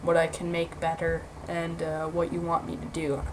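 A woman at a fairly low pitch, fairly slow and flat in monotone, amid noticeable background noise. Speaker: gaming video creator. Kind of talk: gameplay commentary. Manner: halting, many filler words.

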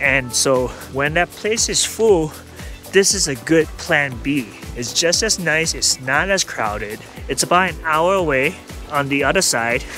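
A man at a fairly slow pace, dry sound with no echo, faint music in the background. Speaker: family vlogger. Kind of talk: casual vlog chat. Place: open country. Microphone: phone near.

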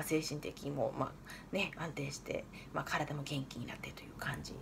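A woman speaks over light background noise. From Fukushima, Iwaki. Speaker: nutritionist and diet coach. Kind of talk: casual self-introduction to camera. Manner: chatty, friendly. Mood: warm, earnest, smiling. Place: home room. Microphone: phone near.

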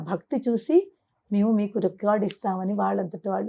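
Over a quiet background, a woman's fairly high voice has a dark, mellow tone and ordinary pitch variation. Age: 50s. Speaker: spiritual teacher. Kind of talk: interview.

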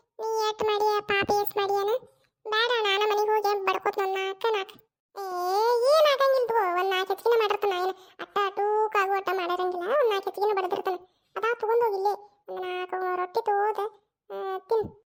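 In a squeaky, cartoonish character voice, a woman talks at a moderate pace with extremely high pitch and fairly even intonation. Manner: reassuring, bossy.

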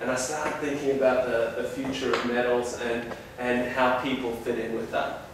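Strong room echo and light background noise accompany a man speaking at a fairly slow pace. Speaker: presenter. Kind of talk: lecture. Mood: warm, personal anecdote. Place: classroom.

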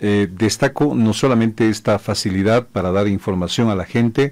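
A man speaks at a moderate pace. His pitch is fairly low. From Bolivia. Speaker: radio host. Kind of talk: radio talk show. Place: studio. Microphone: studio mic.

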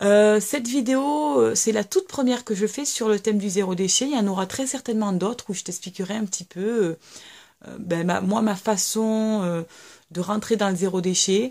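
At a moderate pace, a woman speaks in a medium pitch with ordinary pitch variation and a dark, mellow tone against a quiet background. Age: 30s. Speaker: YouTuber, mother of three; YouTuber. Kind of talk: casual vlog monologue. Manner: hesitant, many fillers. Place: home room. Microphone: webcam.

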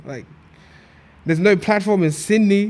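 Talking at a moderate pace with fairly even intonation, a man speaks in an Australian accent. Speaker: media entrepreneur and event promoter. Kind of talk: casual chat. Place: studio. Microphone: studio mic.

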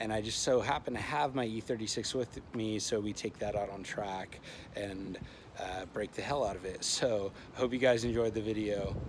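In an unremarkable speaking voice, a man with a fairly low pitch speaks at a moderate pace and fairly even intonation, with light background noise. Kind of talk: casual vlog chat. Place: street. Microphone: phone near.

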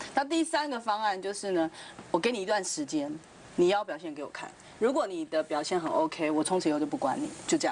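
A woman's voice with very wide pitch swings at a fairly quick pace, over light background noise. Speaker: TV talk show panelist. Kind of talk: TV panel discussion. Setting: studio. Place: studio. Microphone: lapel.

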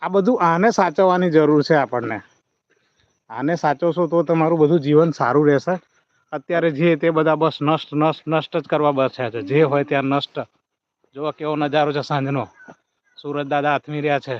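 A man speaks in an ordinary speaking voice, his pitch fairly high with ordinary pitch variation. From Gujarat, Vadodara district. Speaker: YouTuber. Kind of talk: live stream farm tour. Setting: outdoors.

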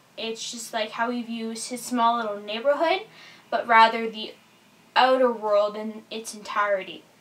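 Speaking at a moderate pace with fairly even intonation, a woman is heard over noticeable background noise. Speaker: book reviewer. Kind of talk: casual book review to camera.

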